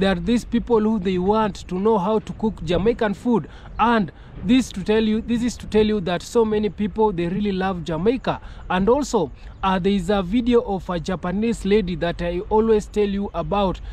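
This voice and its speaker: At a moderate pace, a high-pitched man speaks with fairly even intonation in a dry sound with no echo. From Kenya. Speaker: YouTuber. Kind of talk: video commentary. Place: open country. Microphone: phone near.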